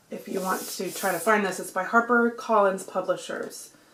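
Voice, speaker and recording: A woman with a medium pitch talks at a moderate pace, noticeable background noise behind her. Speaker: book vlogger. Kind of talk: casual vlog and book haul.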